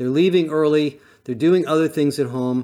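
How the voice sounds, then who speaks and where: A man with a plain, everyday voice talks at a fairly quick pace with ordinary pitch variation, recorded very cleanly over a silent background. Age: 60s. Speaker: industry analyst. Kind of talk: solo talk.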